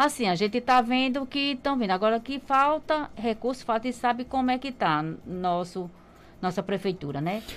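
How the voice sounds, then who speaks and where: Lively intonation from a normal speaking voice, moderate in pace. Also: woman, fairly high pitch for a woman. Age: 50s. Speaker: market traders' association president. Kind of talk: radio interview. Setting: radio studio. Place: studio. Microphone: studio mic.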